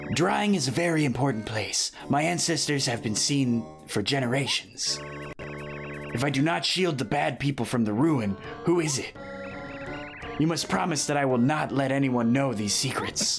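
Clear music plays in the background as the speaker keeps a moderate pace. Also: man, medium pitch for a man. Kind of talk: comic game-dialogue read-aloud. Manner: grave, mysterious, conspiratorial.

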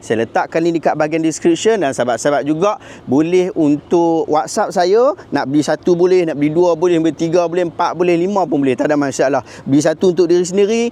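A man speaks at a very fast pace in a high pitch with ordinary variation. Noticeable background noise sits behind him. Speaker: YouTuber and Islamic commentator. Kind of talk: religious commentary video.

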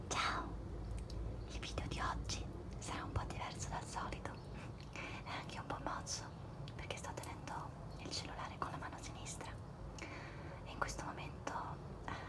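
Loud background noise sits under speech delivered at a moderate pace with long, frequent pauses. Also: woman. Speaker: ASMR creator. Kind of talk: ASMR show and tell, whispered casual talk to camera. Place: home room. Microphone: phone near.

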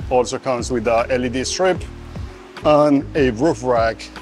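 A man's voice over faint background music. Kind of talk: product demonstration. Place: garage.

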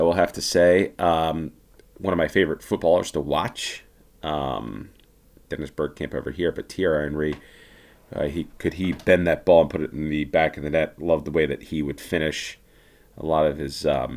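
A man speaks at a very deep, low pitch with vocal fry and fairly even intonation. His pace is moderate, broken by long, frequent pauses. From United States. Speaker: gaming YouTuber. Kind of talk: gameplay commentary. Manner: casual, hesitant with many fillers.

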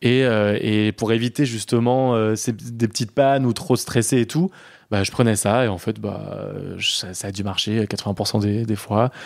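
Here a man talks at a fairly slow pace, with medium pitch and fairly even intonation. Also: very clean recording, silent background. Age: 30s. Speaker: interviewee sharing personal story. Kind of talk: casual chat. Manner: halting.

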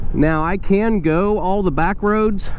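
The sound is dry, with no echo. Light background noise can be heard. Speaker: motovlogger. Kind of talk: casual vlog chat. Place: motorbike. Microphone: helmet.

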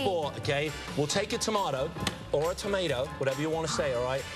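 A man talks at a very fast pace over clear music in the background. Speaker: TV pitchman. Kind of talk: TV morning show interview with product demos. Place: studio. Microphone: lapel.

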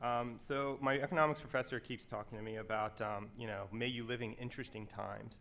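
With fairly even intonation, a man delivers his words at a very fast pace. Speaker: security professional and student. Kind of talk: conference panel discussion. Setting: stage with audience. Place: hall. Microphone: podium.

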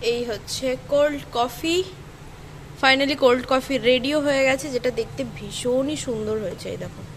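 Over light background noise, a woman talks in a high voice with ordinary pitch variation. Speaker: daily vlogger. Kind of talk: casual vlog narration. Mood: pleased, cheerful. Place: home room. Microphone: phone near.

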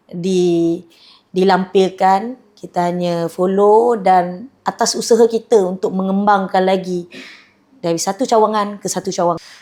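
A woman's dark, mellow tone at a fairly slow pace. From Malaysia, Kedah (Changlun). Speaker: franchise owner, business owner. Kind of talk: promotional testimonial.

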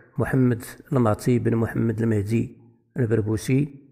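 A man with a Moroccan accent, medium-pitched and dark, mellow in tone, at a very slow pace with fairly even intonation. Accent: Moroccan Arabic (Darija). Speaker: history channel presenter. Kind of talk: narrated history capsule.

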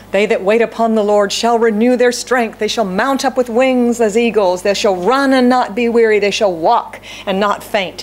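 A woman's speech, at a moderate pace, shows ordinary pitch variation. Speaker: pastor. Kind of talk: sermon. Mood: warm, light humor. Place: church. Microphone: podium.

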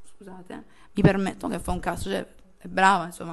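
The speaker is a woman. She talks at a very fast pace. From Apulia, Italy (Barletta); Apulia, Italy. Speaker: DJ; interviewee. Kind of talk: casual interview. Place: home room.

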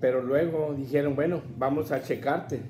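Faint music plays behind a man who speaks at a fairly slow pace in a fairly high pitch with flat, monotone intonation. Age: 70s. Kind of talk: personal testimony talk to camera. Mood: earnest, grateful. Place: home room.

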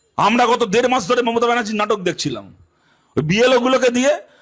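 An animated tone carries speech with ordinary pitch variation. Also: man. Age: 30s. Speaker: left-wing politician. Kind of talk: political rally speech.

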